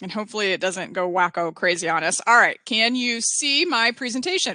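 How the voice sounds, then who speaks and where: An energetic, fairly high female voice with very wide pitch swings at a fairly quick pace, over a quiet background. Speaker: educator and presenter. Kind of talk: webinar presentation. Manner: fast.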